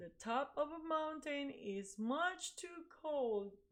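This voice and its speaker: Using a put-on character voice, a woman speaks at a high pitch. Her pace is very slow. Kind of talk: picture book read-aloud. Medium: read story. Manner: fussy, complaining.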